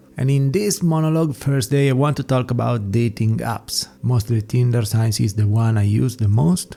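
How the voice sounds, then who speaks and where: A man with an Italian accent at a medium pitch and moderate pace, with ordinary pitch variation, very even loudness and hardly any pauses. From Italy. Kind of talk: casual talk to camera.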